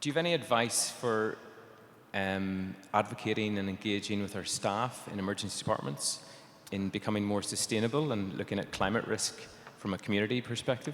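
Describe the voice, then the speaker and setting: Pitched fairly low, this man talks in an Irish accent. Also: ordinary pitch variation, fairly quick pace. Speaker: emergency physician, audience member asking a question. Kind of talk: audience question.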